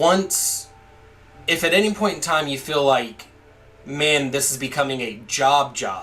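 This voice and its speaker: Music plays in the background as a man speaks. Room echo is audible. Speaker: gaming YouTuber. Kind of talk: gameplay commentary. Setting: home recording setup. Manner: loud.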